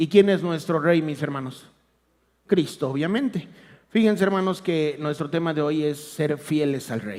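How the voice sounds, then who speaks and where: This man's pitch sits fairly high and varies in an ordinary way. He speaks at a fairly slow pace. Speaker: lay preacher. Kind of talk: sermon. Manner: soft-spoken. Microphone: too quiet.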